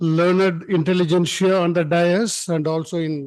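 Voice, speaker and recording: A man speaks with a voice pitched high for a man. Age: 70s. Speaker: conference speaker. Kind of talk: formal speech. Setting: conference hall with audience. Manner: informal, unscripted.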